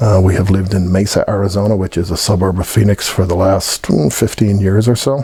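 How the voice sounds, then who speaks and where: A man with an American accent speaks at a fairly low pitch amid noticeable background noise. He goes at a fairly quick pace with hardly any pauses. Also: fairly even intonation. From Ireland, Dublin. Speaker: Irish emigrant telling his story. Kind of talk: personal testimony. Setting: heritage event.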